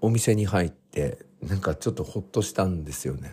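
A somewhat breathy man's voice at a moderate pace. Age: 40s. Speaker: podcast host. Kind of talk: casual diary-style monologue. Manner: frequent filler hesitations.

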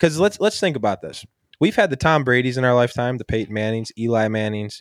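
With an American accent, a man talks at a fairly quick pace at medium pitch, his voice making very wide pitch swings in a dry, close sound with no echo. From Buffalo area, western New York. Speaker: sports podcast host. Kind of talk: casual chat.

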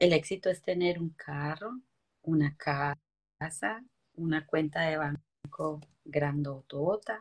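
Very slowly, a woman speaks at a very deep, low pitch with ordinary pitch variation. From Colombia, coffee region (Quindío/Valle). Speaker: motivational speaker. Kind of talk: interview testimony.

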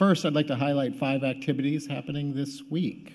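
A man with an ordinary speaking voice talks at a moderate pace and a fairly high pitch. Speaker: church announcer. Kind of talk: announcements. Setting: church.

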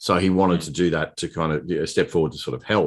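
In an Australian accent, a man speaks with a very deep, low pitch. The background is quiet. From Queensland, Australia. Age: 50s. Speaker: political candidate. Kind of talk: casual chat.

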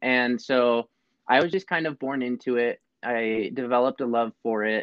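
This man has an ordinary speaking voice with fairly even intonation. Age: young. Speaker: podcast co-host, horse trainer. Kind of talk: casual chat.

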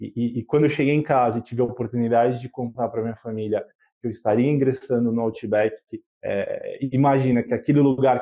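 Medium in pitch and fairly even in intonation, a man speaks in a plain, everyday voice. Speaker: customer experience manager. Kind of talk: interview.

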